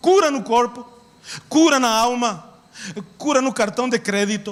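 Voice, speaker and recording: Over noticeable background noise, a man with a Spanish accent talks in an extremely high voice. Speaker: pastor. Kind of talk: sermon. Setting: church. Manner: animated.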